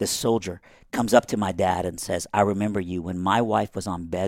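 Fairly brisk speech from a man with a very deep, low voice. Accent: Southern US. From Iran, raised in Texas and Alabama from age ten. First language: Persian. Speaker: author, speaker, former campus pastor. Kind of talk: casual interview storytelling.

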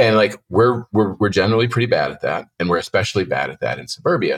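A man's fairly quick delivery in a dry, close sound with no echo. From Pittsburgh area, Pennsylvania. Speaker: author and journalist. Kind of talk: interview.

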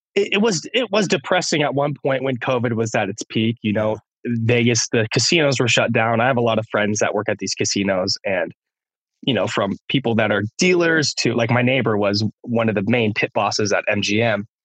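Medium in pitch, a man uses an unremarkable speaking voice at a moderate pace. His pitch varies in an ordinary way and his loudness stays very even. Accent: American. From California. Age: 30s. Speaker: music producer and DJ. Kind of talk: casual chat. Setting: at home, remote call.

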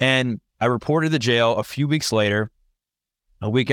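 A plain, everyday voice speaks with an American accent and ordinary pitch variation. The sound is dry and close with no echo, in a very clean recording over a silent background. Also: man. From US, Maryland (Baltimore suburbs). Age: 30s. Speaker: personal trainer and podcaster. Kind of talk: interview, personal testimony.

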